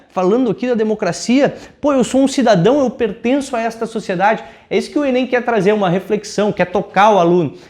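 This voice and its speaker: A man speaks in a high pitch with a southern Brazilian accent. His pace is fairly quick, with ordinary pitch variation. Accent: gaúcho Brazilian Portuguese. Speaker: teacher. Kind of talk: lecture. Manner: informal, conversational.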